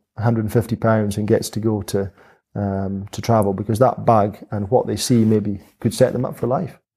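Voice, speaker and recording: A man with a Highland Scottish accent speaks at a moderate pace and fairly low pitch in a dark, mellow tone with fairly even intonation, on a very clean recording with a silent background. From Scottish Highlands, Dingwall near Inverness. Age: 40s. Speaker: helicopter pilot, farmer and distillery founder. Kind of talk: interview conversation. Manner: halting, many fillers.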